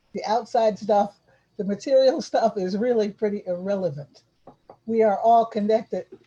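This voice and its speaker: A woman speaks at a moderate pace in a somewhat breathy, dark, mellow tone, her pitch fairly high with ordinary variation. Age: 70s. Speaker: community development and arts worker. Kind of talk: casual chat. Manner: halting.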